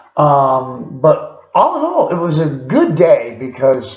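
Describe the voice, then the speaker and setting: Man's voice with audible room echo. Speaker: video diarist in recovery. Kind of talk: video diary. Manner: halting, many fillers.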